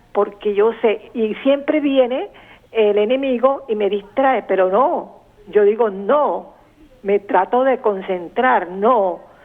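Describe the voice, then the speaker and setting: Over noticeable background noise, a woman speaks at a very slow pace with a fairly high pitch, ordinary pitch variation, and very even loudness. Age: 70s. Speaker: caller. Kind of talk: testimony.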